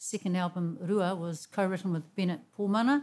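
The speaker here is a woman. She keeps to a moderate pace. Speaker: host. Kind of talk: song introduction chat. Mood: warm, earnest. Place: studio. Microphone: studio mic.

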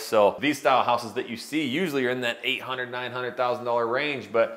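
A man speaks at a moderate pace. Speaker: real estate video host. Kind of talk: casual vlog chat. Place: home room. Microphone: lapel.

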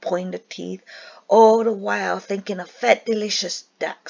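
This is plain reading aloud. The text is read out directly.

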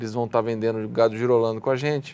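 A man is speaking. His intonation is fairly even. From Brazil. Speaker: co-founder of rural marketplace website, farmer; interview guest. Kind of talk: TV interview. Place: studio. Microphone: lapel.

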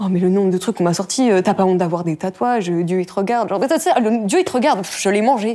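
Here a woman talks at a very fast pace with hardly any pauses. Her pitch is medium, with ordinary pitch variation. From northern France. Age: 20s. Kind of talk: casual chat. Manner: casual. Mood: animated, slightly indignant. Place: home room.

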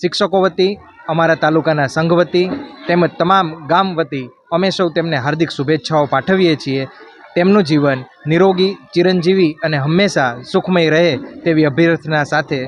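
A man speaks at a high pitch with fairly even intonation. His loudness stays very even over noticeable background noise. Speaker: education official. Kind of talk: formal speech. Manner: formal.

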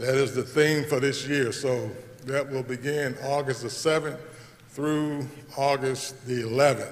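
Monotone and flat in intonation, a man talks at a fairly slow pace in a fairly high pitch. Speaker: scripture reader. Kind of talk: reading aloud. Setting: church. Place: church. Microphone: podium.

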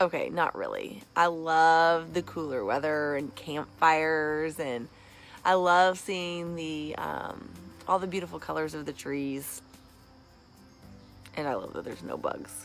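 Over light background noise, the dry, echo-free voice shows big swings in loudness and ordinary pitch variation. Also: woman, very deep, low pitch for a woman. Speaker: vlogger. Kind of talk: casual vlog chat. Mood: cheerful, playful. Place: garden. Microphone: phone near.

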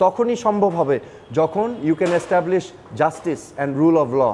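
A high-pitched male voice with lively intonation. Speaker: former government minister. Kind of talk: interview. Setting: fitness center.

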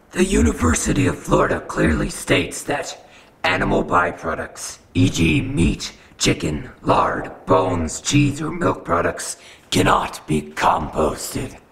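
A man puts on a character voice with a smug, menacing tone. His pitch is very deep and low, with very wide swings. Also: fairly slow pace. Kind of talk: mock-ominous villain speech. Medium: comedy sketch. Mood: pompous reading of scripture.

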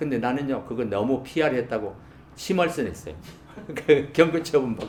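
At a moderate pace with lively intonation, the speaker leaves long, frequent pauses over noticeable background noise. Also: man, medium pitch for a man. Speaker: retired broadcast announcer. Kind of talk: interview answer. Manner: storytelling, humorous, soft-spoken.

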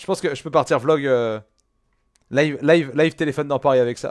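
A man at a very fast pace over a quiet background. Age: 20s. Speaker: gaming streamer. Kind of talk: casual gameplay commentary chatting with viewers; casual live-stream commentary to chat. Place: home room.

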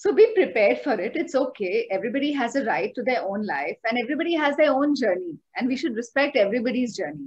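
Speaking very fast with hardly any pauses, a woman with an Indian accent uses a high pitch and very wide pitch swings. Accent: Indian English, code-switching with Hindi. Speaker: guest, coach on self-improvement. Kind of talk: podcast interview explanation. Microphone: video call.

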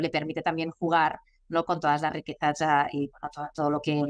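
Against a quiet background, a woman speaks at a fairly low pitch. Her intonation is monotone and flat. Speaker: guest. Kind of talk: interview answer. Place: office. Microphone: video call.

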